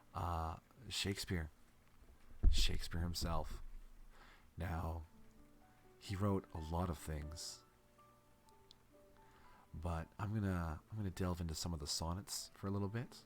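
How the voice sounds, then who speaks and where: Over music in the background, a man speaks in a very deep, low voice with a soothing tone. His pace is fairly slow, his intonation fairly even, with long, frequent pauses. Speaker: VTuber and ASMR streamer. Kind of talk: poetry reading (Shakespeare sonnets). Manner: soft, slow, soothing.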